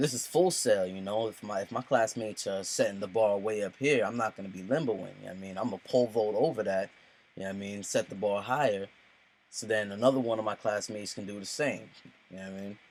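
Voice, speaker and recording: This man talks at a very fast pace in a fairly low pitch, with ordinary pitch variation and big swings in loudness. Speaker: student, aspiring rapper. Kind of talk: self-reflection speech to camera. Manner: casual, filler-heavy.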